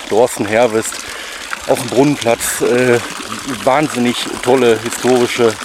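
A man's medium-pitched voice comes through over noticeable background noise. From Ruhr area, Oberhausen. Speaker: food vlogger. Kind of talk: casual chat. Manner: animated.

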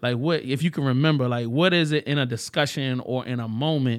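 On a very clean recording with a silent background, a man with a plain, everyday voice talks at a moderate pace and medium pitch with ordinary pitch variation. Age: 40s. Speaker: podcast guest. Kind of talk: casual chat.

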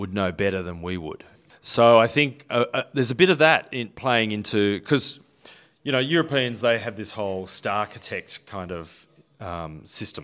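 A man with an Australian accent speaks at a fairly low pitch with lively intonation, on a very clean recording with a silent background. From Australia, Western Sydney. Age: 50s. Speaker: architect. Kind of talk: casual chat.

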